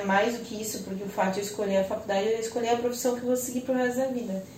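A woman speaks with a fairly high pitch. Noticeable background noise and audible room echo surround her voice. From Joinville, Santa Catarina, southern Brazil. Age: 30s. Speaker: lawyer. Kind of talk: casual chat. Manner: animated.

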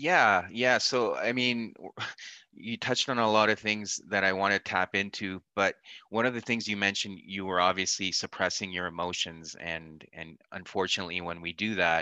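A man with a very deep, low pitch and a bright, sharp tone, at a moderate pace with ordinary pitch variation, the sound dry and close with no echo against a quiet background. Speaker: podcast host. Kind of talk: interview conversation.

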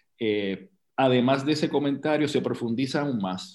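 With a plain, everyday voice, a man delivers his words at a moderate pace, his pitch varying in an ordinary way. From Puerto Rico, Loíza. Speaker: actor and producer. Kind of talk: casual chat.

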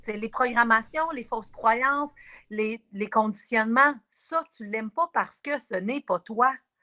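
Fairly slow speech from a woman with a Quebec accent, fairly high in pitch with ordinary pitch variation, bright and sharp in tone, with big swings in loudness and a dry, close sound with no echo. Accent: Québécois French. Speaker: spiritual wellness guide. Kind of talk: casual radio interview.

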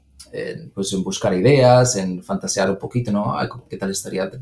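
Over noticeable background noise, a man talks at a moderate pace with a fairly low pitch. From Andalusia, Spain (Granada). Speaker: engineer. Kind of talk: interview. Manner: halting, many repetitions and fillers.

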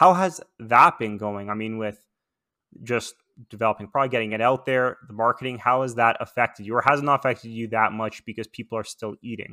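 A man talks at a fairly quick pace with a Canadian accent. His tone is bright and sharp, and the recording is very clean with a silent background. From Toronto, Canada. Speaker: podcast host. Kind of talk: casual interview; scripted intro.

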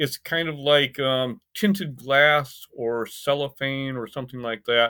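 With an American accent, a man speaks at a fairly slow pace and ordinary pitch variation. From US Midwest, Michigan and Indiana. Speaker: anthropology professor and synesthesia researcher. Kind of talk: interview conversation. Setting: remote recording.

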